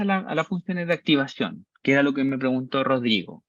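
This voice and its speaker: A man with a Chilean accent talks at a fairly quick pace with lively intonation. The sound is dry and close, with no echo. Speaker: university-level instructor. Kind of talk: lecture. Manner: animated, conversational.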